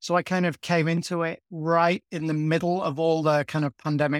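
A man speaks with a northern English accent at a fairly high pitch. The sound is dry and close, with no echo. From northern England. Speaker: journalist. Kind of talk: interview. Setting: remote call.

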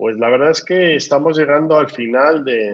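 A man with a Spanish accent speaks at a fairly slow pace. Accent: Spanish (Spain). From Spain. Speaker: business school dean and podcast host. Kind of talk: interview. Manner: hesitant, with fillers.

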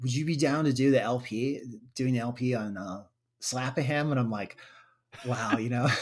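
A man with an American accent speaks at a medium pitch and a moderate pace, with ordinary pitch variation. It is a normal speaking voice. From US Midwest, Waukegan, Illinois. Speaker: musician and artist. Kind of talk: casual interview chat. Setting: video call.

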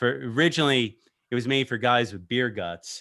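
With a plain, everyday voice, a man talks fairly quickly in an American accent, his pitch variation ordinary. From US East Coast. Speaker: podcast host. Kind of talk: casual podcast chat. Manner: casual, joking.

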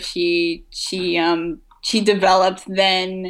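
This woman's tone is bright and sharp, at a medium pitch. The background is silent and the recording very clean. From France. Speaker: comic book artist. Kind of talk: interview.

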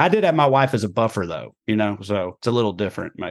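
Against a quiet background, a man with a Southern US accent talks at a fairly quick pace in a medium pitch with ordinary pitch variation. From US South. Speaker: comedian. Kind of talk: interview.

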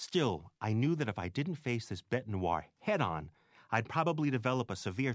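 The intonation here is lively. The delivery is plain reading aloud.

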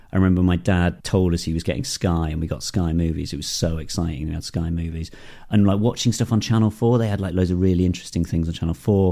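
Very fast and very deep, a man's dark, mellow voice moves with ordinary pitch variation. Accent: Northeast English. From northern England, Darlington. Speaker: film and TV director. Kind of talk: interview. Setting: garden shed.

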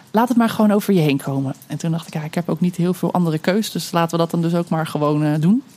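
A woman with a fairly low pitch and ordinary pitch variation talks at a very fast pace amid noticeable background noise. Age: 30s. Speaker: storyteller and mother sharing birth story. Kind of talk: personal testimony interview. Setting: outdoors under a veranda.

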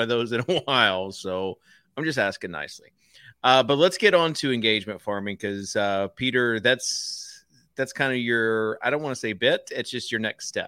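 This man has a plain, everyday voice. His pace is moderate, and his pitch variation is ordinary. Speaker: podcast host. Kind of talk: casual podcast chat.

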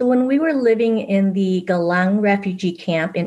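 A woman with a Vietnamese accent at a moderate pace. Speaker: author. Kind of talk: casual interview.

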